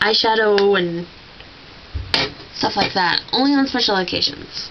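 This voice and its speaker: Against noticeable background noise, a woman's voice rises and falls in very wide pitch swings. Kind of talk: casual talk to camera. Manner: hesitant, chatty.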